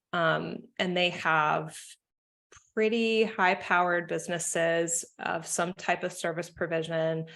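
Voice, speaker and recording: A woman with an American accent has a normal speaking voice, pitched fairly low and delivered at a fairly slow pace. Her intonation stays fairly even. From United States. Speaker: marketing consultant. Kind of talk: podcast interview.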